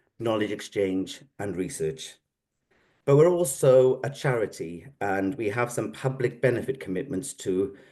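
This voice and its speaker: Against a quiet background, a man with a Welsh accent speaks at a moderate pace. His voice is medium-pitched, with a dark, mellow tone. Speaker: psychotherapy organisation representative. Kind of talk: formal presentation.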